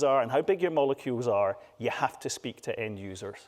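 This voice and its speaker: Here a man talks with a fairly high pitch and lively intonation. His pace is moderate. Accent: Scottish. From Scotland. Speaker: patient advocate speaker. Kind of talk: conference talk. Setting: stage with audience. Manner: animated.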